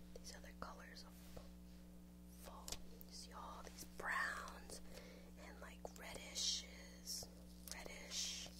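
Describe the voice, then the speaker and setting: Over loud background noise, a woman talks at a very slow pace. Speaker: vlogger. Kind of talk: casual vlog chat. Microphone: webcam.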